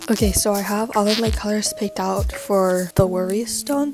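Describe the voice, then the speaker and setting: Against noticeable background noise, a woman with a medium pitch talks at a fairly slow pace with ordinary pitch variation. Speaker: crafting vlogger. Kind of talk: casual vlog narration. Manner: casual, chatty.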